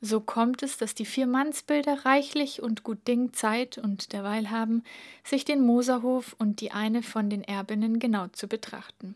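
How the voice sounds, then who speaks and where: In a very clean recording with a silent background, a woman with a Bavarian accent talks at a fairly high pitch with fairly even intonation. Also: fairly slow pace. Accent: Bavarian dialect in dialogue. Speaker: reader. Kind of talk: audiobook reading.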